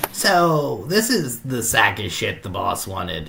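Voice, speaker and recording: A man puts on a character voice at a medium pitch. He goes at a fairly slow pace over clear background noise. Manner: gruff, crude.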